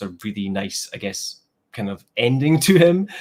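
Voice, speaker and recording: Scottish-accented man with ordinary pitch variation. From Scotland. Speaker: comic book YouTuber. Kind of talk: casual interview chat. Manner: hesitant, many fillers.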